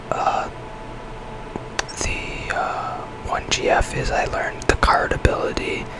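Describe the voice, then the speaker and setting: The speaker is whispering. Noticeable background noise sits behind the voice. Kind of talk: ASMR whisper gameplay commentary. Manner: whispered.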